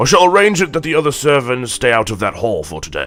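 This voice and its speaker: A man performs a put-on character voice at a fairly high pitch. He races along at a very fast pace with very wide pitch swings. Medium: read story. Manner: apologetic, deferential.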